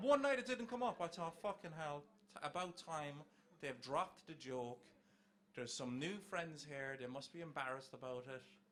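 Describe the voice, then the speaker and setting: A man with an Irish accent speaks at a moderate pace. His pitch sits fairly high. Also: lively intonation. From Ireland. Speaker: comedian. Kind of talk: stand-up.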